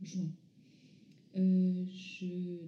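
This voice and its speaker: A woman's voice at a medium pitch. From France, from age 11; born in North Africa to Iranian parents. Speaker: visual artist, former architect. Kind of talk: interview. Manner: halting.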